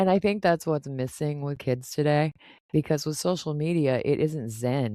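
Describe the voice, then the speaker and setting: This woman speaks at a moderate pace with a very deep, low pitch and ordinary pitch variation. Her tone is dark and mellow. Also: dry, close sound with no echo, very clean recording, silent background. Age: 50s. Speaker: podcast host. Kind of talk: casual interview.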